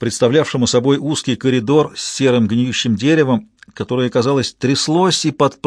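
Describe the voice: What we hear is plain reading aloud.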